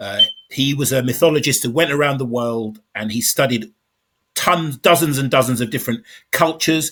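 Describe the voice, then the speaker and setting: This man has a plain, everyday voice, medium pitch, ordinary pitch variation and a moderate pace. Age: 50s. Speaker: podcast host. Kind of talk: casual interview chat.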